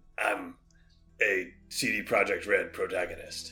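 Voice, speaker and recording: A man does a put-on character voice, raspy and serious in tone, with faint music in the background. His pace is fairly slow. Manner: gravelly, deliberately serious.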